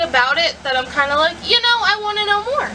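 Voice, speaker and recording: A woman's raised, projected voice moves at a very fast pace with lively intonation against noticeable background noise. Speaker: book vlogger. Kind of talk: casual vlog. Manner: loud.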